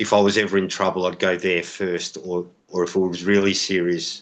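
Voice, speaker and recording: At a moderate pace, a man with an Australian accent speaks in a very deep, low pitch with monotone, flat intonation over a quiet background. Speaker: expat interviewee. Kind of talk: interview.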